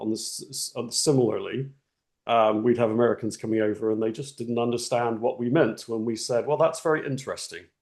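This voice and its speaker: A man speaks at a fairly quick pace with an English accent, his medium-pitched voice holding a fairly even intonation. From England. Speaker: webinar attendee. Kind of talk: casual discussion comment.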